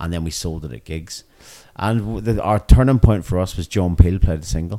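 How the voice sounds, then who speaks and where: Heard in a very clean recording with a silent background, a man with a Northern Irish accent has a dark, mellow tone and ordinary pitch variation. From Northern Ireland. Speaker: punk rock musician. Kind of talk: interview. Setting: music venue.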